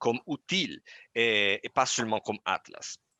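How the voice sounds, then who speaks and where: The voice has a non-native accent and a bright, sharp tone, recorded dry and close with no echo against a quiet background. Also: man. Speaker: product manager presenting software. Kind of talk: webinar presentation and Q&A. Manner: halting, many hesitations.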